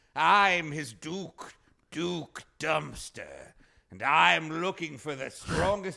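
A man puts on a raspy character voice, pitched fairly high, speaking at a very slow pace with big swings in loudness. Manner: comic overacting, boastful.

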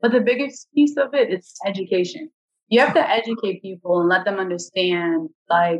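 In an American accent, a woman speaks at medium pitch and a moderate pace with an unremarkable speaking voice. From New York. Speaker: nonprofit founder and political candidate. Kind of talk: interview.

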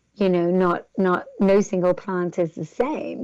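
With an English accent, a woman speaks at a fairly slow pace in a fairly low pitch with ordinary pitch variation. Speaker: entrepreneur. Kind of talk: interview. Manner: hesitant, many fillers.

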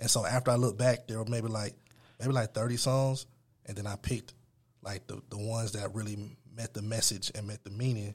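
Speaking at a fairly quick pace, a man with a medium pitch and a somewhat breathy voice keeps a monotone, flat intonation on a very clean recording with a silent background. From Atlanta area, Georgia (Stone Mountain). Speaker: music producer and rapper. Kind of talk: interview.

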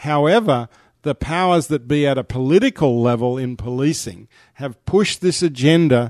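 Speaking in an Australian accent at a moderate pace, a man has a fairly high pitch. The sound is dry and close with no echo, over a quiet background. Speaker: shooters' association representative. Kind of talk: interview.

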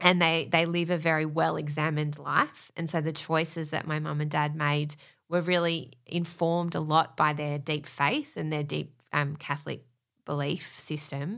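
The intonation is monotone and flat, delivered at a moderate pace. The recording is very clean, with a silent background. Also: woman, very deep, low pitch for a woman. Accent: Australian. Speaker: podcast business manager, former teacher. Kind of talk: casual interview chat.

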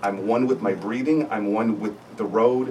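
A man talks at a moderate pace with ordinary pitch variation. Noticeable background noise runs underneath. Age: 50s. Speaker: family physician. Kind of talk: panel discussion. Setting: radio studio.

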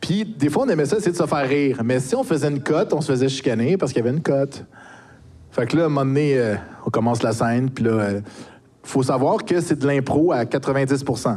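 A man talks at a moderate pace and medium pitch in a normal speaking voice. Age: 40s. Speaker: YouTuber and streamer. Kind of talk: casual chat.

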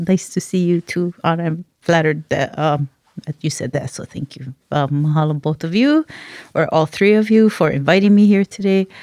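A woman with a Hawaiian accent talks at a moderate pace in a dark, mellow tone and fairly low pitch, with ordinary pitch variation, on a very clean recording with a silent background. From Hawaii, Maui. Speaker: cultural researcher and practitioner. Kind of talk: casual interview.

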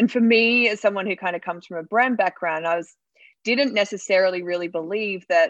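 A woman with an Australian accent speaks at a fairly quick pace with ordinary pitch variation. The sound is dry and close with no echo, over a quiet background. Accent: Australian, jokingly called New Jersey. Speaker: startup founder. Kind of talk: interview.

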